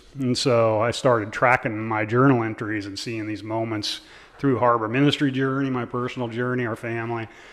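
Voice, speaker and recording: This man talks at a fairly quick pace with an American accent. His medium pitch stays monotone and flat. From US Midwest, central Nebraska. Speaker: ministry founder and pastor. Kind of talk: casual interview.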